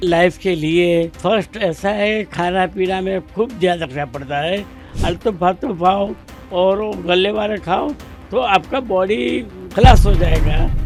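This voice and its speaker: A man's high-pitched voice with ordinary pitch variation, music in the background. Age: 80s+. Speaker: retired superintending engineer. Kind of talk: interview answer.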